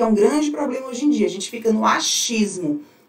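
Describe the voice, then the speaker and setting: Very wide pitch swings fill a woman's animated tone. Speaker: fashion business coach. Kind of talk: live stream teaching. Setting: live stream.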